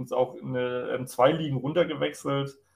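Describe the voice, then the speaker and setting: A man speaks with a fairly high-pitched voice. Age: 20s. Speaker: water police officer and gaming league admin. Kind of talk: casual chat.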